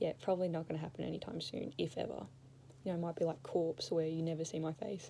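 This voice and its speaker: Speaking at a very fast pace, a woman uses a fairly low pitch with ordinary pitch variation, a dark, mellow tone and vocal fry. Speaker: vlogger. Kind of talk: casual chat. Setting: indoors under a blanket fort. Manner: rambling, tangential.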